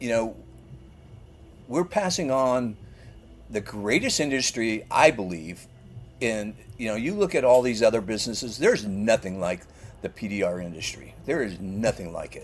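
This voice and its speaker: With music in the background, a man of medium pitch speaks at a moderate pace with lively intonation, big swings in loudness and long, frequent pauses. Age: 60s. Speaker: paintless dent repair business owner. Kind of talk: podcast interview.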